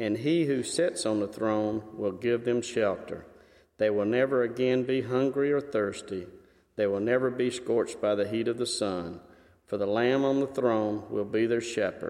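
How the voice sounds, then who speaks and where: A man's unremarkable speaking voice at medium pitch, with ordinary pitch variation, very even loudness, and a moderate pace. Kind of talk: scripture reading. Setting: church.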